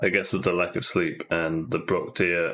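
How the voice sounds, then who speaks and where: A soft-spoken man with a very deep, low voice. He talks at a moderate pace. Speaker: gaming streamer. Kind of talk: casual chat. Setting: live stream. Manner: halting. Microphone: far from the mic.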